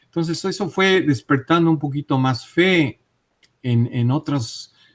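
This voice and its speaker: The recording is very clean with a silent background. A man speaks with ordinary pitch variation. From Mexico City. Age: 60s. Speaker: interviewee on UFO and paranormal topics. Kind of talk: interview testimony. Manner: hesitant, with frequent fillers.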